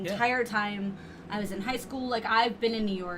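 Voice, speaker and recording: With an American accent, a woman speaks at a fairly high pitch. Her intonation is fairly even, and room echo is audible. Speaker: podcast guest. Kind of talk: casual chat. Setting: video podcast recording. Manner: loud.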